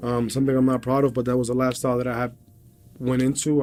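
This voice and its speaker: A man of medium pitch with music in the background. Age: 30s. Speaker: MMA fighter. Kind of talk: interview testimony. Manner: halting.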